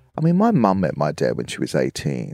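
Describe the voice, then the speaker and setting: A man with an Australian accent speaks at a moderate pace with vocal fry. The recording is very clean and dry, with a silent background and no echo. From Southeast Queensland, Australia. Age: 50s. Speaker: choreographer. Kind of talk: casual chat.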